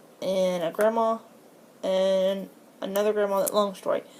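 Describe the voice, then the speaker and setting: In a Florida accent, a woman speaks in a dark, mellow tone with monotone, flat intonation. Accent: Southern US (Florida). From Florida, USA. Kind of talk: casual talk to camera, accent tag. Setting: filmed on a tablet at home.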